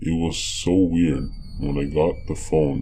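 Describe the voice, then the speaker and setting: A man puts on a character voice, pitched very deep and low, speaking at a fairly slow pace over noticeable background noise. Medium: read story. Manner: crude, mocking.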